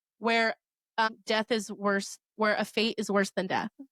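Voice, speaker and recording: A woman with a fairly high pitch speaks at a moderate pace in an animated tone, the sound dry and close with no echo. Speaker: podcast co-host. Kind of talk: casual chat. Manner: loud.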